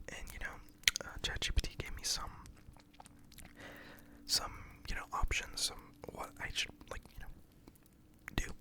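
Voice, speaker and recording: A whisper at a moderate pace, noticeable background noise underneath. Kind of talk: ASMR story time. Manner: whispered.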